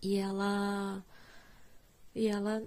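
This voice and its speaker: A woman speaks in a dark, mellow tone. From Brazil, Curitiba. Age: 30s. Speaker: music educator and podcast host. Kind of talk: solo podcast monologue.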